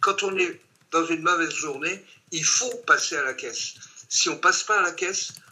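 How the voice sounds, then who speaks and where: At a moderate pace, a man talks with a high pitch. His pitch variation is ordinary. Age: 80s+. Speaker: horse racing betting expert. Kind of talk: online training session.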